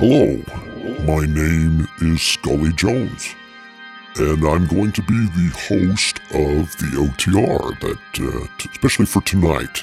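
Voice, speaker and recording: Music plays clearly behind a man doing a put-on character voice. He speaks very slowly with a very deep, low pitch. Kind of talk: spooky horror host. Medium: old radio play. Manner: theatrical, sardonic.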